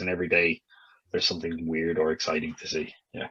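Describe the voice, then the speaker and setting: A man with an Irish accent speaks at a very fast pace. His very deep, low pitch stays monotone and flat. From Ireland. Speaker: English teacher abroad. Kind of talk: interview. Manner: casual, hesitant with fillers.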